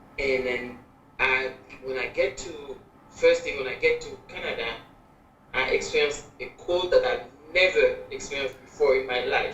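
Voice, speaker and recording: A woman's voice swings widely in loudness, with audible room echo and noticeable background noise. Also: moderate pace. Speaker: mother of documentary subject. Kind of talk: documentary interview.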